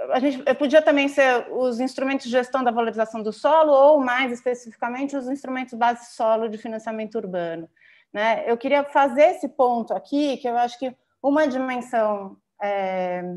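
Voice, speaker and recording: A woman speaks with a high pitch. Her pitch varies in an ordinary way over a quiet background. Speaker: urban land policy consultant; presenter. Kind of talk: panel presentation. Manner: fast. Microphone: video call.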